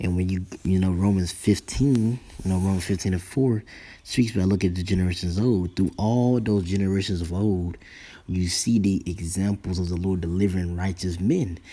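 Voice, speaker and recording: A man whispering at a moderate pace, in a very clean recording with a silent background. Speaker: religious teacher. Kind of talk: sermon. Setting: at home.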